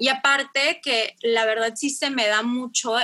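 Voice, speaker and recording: This woman's fairly high voice has a bright, sharp tone. She talks at a fairly slow pace with fairly even intonation. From Mexico, Tijuana. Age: 20s. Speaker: teacher. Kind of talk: casual chat.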